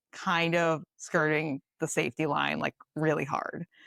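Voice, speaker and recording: The voice carries a Boston accent. It sounds dry and close, with no echo. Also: woman. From Boston, Massachusetts. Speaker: dietitian and ultramarathoner. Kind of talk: casual chat. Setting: podcast recording. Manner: animated.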